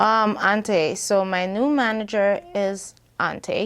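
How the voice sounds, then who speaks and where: A woman speaks with a Bahamian accent at a medium pitch. The background is quiet. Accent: Bahamian accent, noticeable. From Bahamas. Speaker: singer and rapper. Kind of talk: casual interview.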